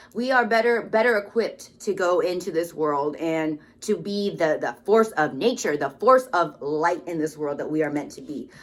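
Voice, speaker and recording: A woman speaks at a moderate pace in a fairly low pitch, with lively intonation and hardly any pauses. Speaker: tarot card reader. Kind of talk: spiritual card reading monologue. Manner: loud, expressive; casual, hesitant with fillers.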